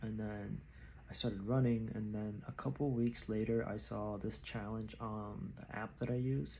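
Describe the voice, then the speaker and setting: A man speaks softly at a fairly slow pace, his pitch medium and his tone dark and mellow. Room echo is audible. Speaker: vlogger, amateur runner. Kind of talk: casual vlog monologue. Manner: soft-spoken. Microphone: new microphone.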